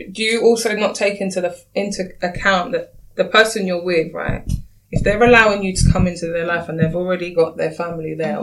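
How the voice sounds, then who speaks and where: At a fairly quick pace, an unremarkable speaking voice moves along with ordinary pitch variation. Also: woman. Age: 30s. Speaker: single dating panelist. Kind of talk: casual chat.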